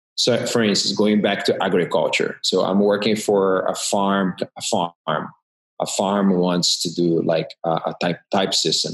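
With a Portuguese accent, a man speaks at a fairly slow pace and with very even loudness. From Brazil, Rio de Janeiro. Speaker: graphic designer and typographer. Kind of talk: interview. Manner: halting.

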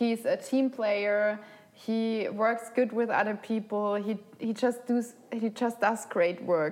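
A woman's fairly high voice with a German accent, at a very slow pace with fairly even intonation. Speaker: podcast host. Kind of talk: casual chat.

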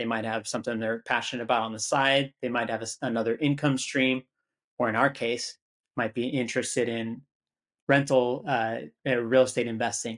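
A man talks at a fairly quick pace in a medium pitch, his intonation monotone and flat, over a quiet background. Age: 30s. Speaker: real estate investor. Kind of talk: interview conversation.

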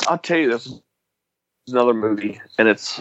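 An ordinary speaking voice with an American accent moves at a fairly quick pace with lively intonation. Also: man. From US South. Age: 30s. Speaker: beer delivery driver. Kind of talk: casual chat.

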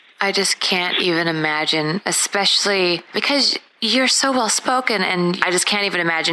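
Over noticeable background noise, a woman with a fairly low pitch talks at a moderate pace and very even loudness, with hardly any pauses. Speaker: podcast host. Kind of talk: interview.

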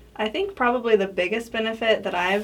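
A woman with an American accent at a fairly quick pace, fairly even intonation, and noticeable background noise. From Colorado. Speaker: beauty pageant winner and health agency staff member. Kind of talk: casual interview.

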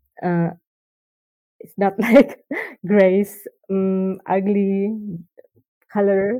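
A woman with an Indonesian accent speaks at a medium pitch in a dark, mellow tone. Her delivery is monotone and flat, very slow, and broken by long, frequent pauses. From Indonesia, Jakarta. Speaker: children's book illustrator. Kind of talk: casual chat. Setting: remote call.

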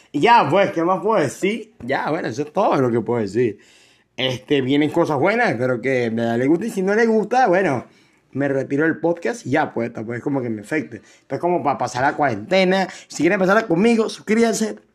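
With a Venezuelan accent, a man talks at a fairly quick pace in a fairly high pitch, his voice swinging very widely in pitch. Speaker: podcast host. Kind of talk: casual monologue. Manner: halting, many fillers and repetitions.

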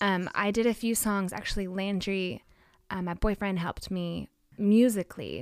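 A woman speaks at a moderate pace in a medium pitch. Her intonation stays fairly even. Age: 20s. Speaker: songwriter and worship singer. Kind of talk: casual interview. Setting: FaceTime video call.

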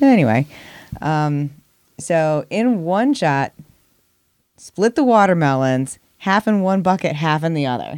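A woman speaks at a fairly slow pace with long, frequent pauses. Her fairly low pitch moves in very wide swings. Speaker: podcast co-host. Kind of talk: casual chat.

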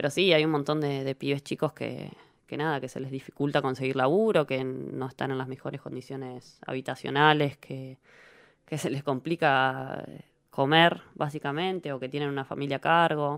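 On a very clean recording with a silent background, a woman speaks in a very deep, low pitch. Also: fairly even intonation, moderate pace. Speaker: professional footballer. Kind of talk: interview.

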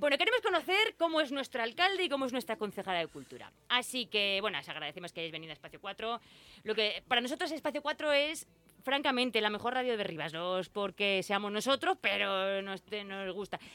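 On a very clean recording with a silent background, a woman with a fairly high pitch talks at a fairly quick pace, her pitch swinging very widely. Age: 40s. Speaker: radio host. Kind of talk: casual radio chat. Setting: studio.

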